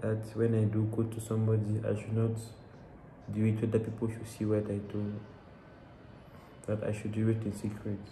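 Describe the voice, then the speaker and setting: Amid light background noise and audible room echo, a man speaks in a fairly low pitch at a moderate pace, with monotone, flat intonation and long, frequent pauses. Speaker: bible reader. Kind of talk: casual talk to camera, personal interpretation. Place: home room. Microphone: phone near.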